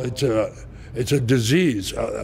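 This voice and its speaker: Noticeable background noise sits behind the voice. A man talks at a fairly slow pace. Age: 70s. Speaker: winery owner. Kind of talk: interview. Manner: halting.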